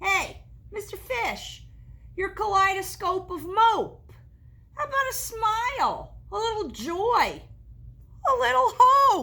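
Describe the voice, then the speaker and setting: A woman in a put-on character voice speaks at an extremely high pitch with very wide swings, a fairly slow pace and long, frequent pauses. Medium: read story.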